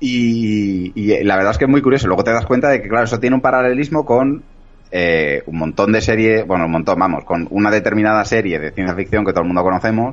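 Intonation rises and falls in a lively way. The speech runs very fast. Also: man, fairly low pitch for a man. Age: 40s. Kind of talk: casual chat.

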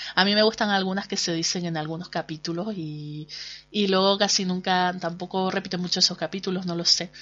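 A woman's fairly low voice with a Canarian accent and monotone, flat intonation. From Canary Islands, Spain. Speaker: podcast host and blogger. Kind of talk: casual monologue. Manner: chatty, hesitant with fillers.

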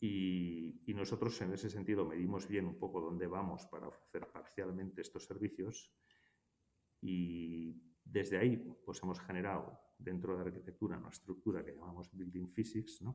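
Here a man's voice is very deep and low, with a dark, mellow tone. He keeps a moderate pace and fairly even intonation. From Basque Country, Spain (Hondarribia, Gipuzkoa). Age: 60s. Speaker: architect and firm partner. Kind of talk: interview. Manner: hesitant, many fillers.

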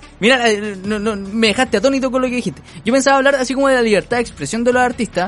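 In a Chilean accent, the speaker talks at a very fast pace with ordinary pitch variation. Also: man, extremely high pitch for a man. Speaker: podcast co-host. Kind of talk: casual chat.

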